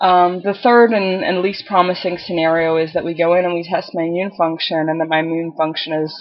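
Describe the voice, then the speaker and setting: Speaking at a moderate pace, a woman uses a fairly low pitch and fairly even intonation. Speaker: video blogger. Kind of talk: casual vlog update. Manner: hesitant, many filler ums.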